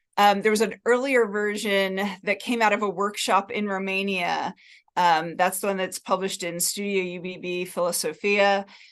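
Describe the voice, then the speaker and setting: A woman with an American accent speaks at a moderate pace and medium pitch against a quiet background. Her intonation stays monotone and flat. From New Jersey, US. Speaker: cognitive science professor. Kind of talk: academic talk.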